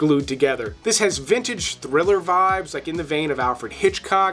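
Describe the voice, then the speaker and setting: An animated man with a high pitch and an American accent, using lively intonation over music in the background. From US South, South Mississippi. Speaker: movie reviewer. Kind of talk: casual video commentary.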